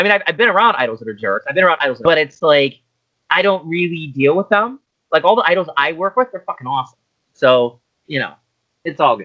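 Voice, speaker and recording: With a Pittsburgh accent, a man talks at a very fast pace and fairly high pitch, his bright, sharp tone swinging very widely in pitch, in a dry, close sound with no echo. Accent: Pittsburgh American English. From US, Pittsburgh. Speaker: idol manager and director. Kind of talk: casual interview chat.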